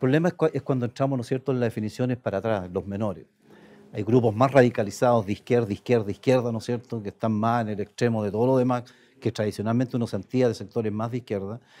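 A man with a dark, mellow tone rattles along at a very fast pace, keeping his intonation fairly even. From Chile, Aysén region. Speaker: senator. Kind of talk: political interview. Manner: halting, frequent repetitions. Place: studio. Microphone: lapel.

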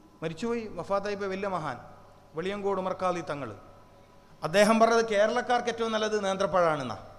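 With noticeable background noise and audible room echo, a man speaks at a high pitch with ordinary pitch variation. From Kerala, Kannur. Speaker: Islamic preacher. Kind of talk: sermon. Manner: animated.

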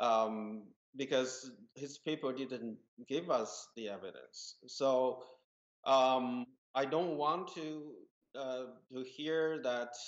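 Against a quiet background, a man with a Chinese accent speaks in a fairly even intonation. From rural China. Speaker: molecular geneticist, media executive; guest. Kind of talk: panel discussion. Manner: halting, many fillers. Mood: serious, concerned.

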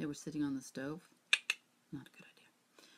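A woman with a very deep, low pitch. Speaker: reseller showing thrift finds. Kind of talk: casual vlog chat. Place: home room. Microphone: webcam.

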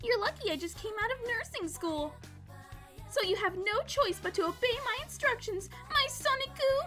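A woman's put-on character voice, extremely high-pitched and bright and sharp in tone, with lively intonation at a moderate pace over faint background music

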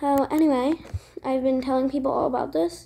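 A woman speaks in a dark, mellow tone with fairly even intonation. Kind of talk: roleplay voicing with narration.

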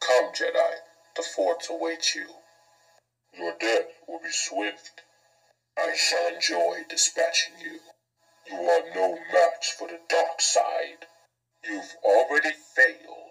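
A man puts on a character voice, pitched high and menacing, speaking at a fairly slow pace with long, frequent pauses. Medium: voice reel. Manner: slow, menacing.

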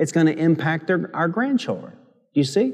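Fairly high-pitched male voice with lively intonation at a moderate pace, against a quiet background. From Michigan. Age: 50s. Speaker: pastor. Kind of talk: sermon. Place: church.

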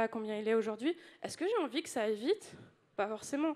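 Lively in intonation, a woman talks at a fairly quick pace. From France. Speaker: UX designer, conference speaker; conference speaker. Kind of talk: conference talk. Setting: stage with audience. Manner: animated. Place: hall.

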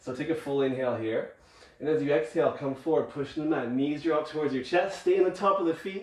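Very fast speech with ordinary pitch variation, audible room echo and a quiet background. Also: man, fairly high pitch for a man. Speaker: yoga instructor. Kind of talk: guided yoga class, cueing breath and movement. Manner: encouraging countdown coaching, brisk rhythmic cues; calm, soothing during relaxation. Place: home room. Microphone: camera far.

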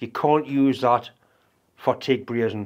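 At a very slow pace, a man talks at a medium pitch. His pitch variation is ordinary. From UK. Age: 60s. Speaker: welding and workshop video maker. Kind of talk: tutorial. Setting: workshop. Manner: casual, rambling. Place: workshop.

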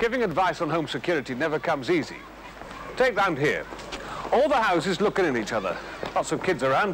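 A man with a British accent speaks high-pitched, with lively intonation. His pace is fairly quick, over light background noise. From England. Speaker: crime prevention officer. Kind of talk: vintage public information film narration. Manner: earnest, chatty advisory tone. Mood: calm, plain, advisory.

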